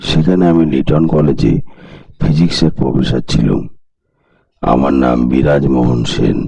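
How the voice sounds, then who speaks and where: In a put-on character voice, a man speaks fairly slowly in a raspy, very deep, low pitch with ordinary pitch variation and very even loudness. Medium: read story. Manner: guarded, then warm and lecturing.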